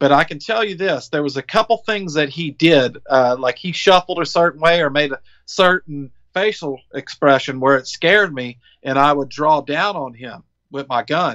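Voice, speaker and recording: In a Southern US accent, a man with a bright, sharp tone and a fairly high pitch talks at a moderate pace with ordinary pitch variation, the sound dry and close with no echo. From Biloxi, Mississippi, USA. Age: 40s. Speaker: Iraq war veteran, business owner, deer hunter. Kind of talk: interview answer.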